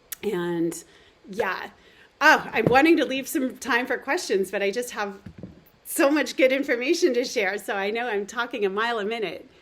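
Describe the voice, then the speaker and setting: Speaking at a moderate pace, a woman uses lively intonation and a fairly high pitch amid noticeable background noise. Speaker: nutrition therapist. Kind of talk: webinar presentation.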